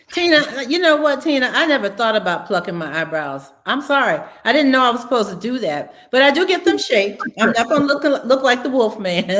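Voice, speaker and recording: Amid noticeable background noise, a high-pitched woman talks fairly quickly with very wide pitch swings and hardly any pauses. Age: 70s. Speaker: podcast co-host. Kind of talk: casual chat.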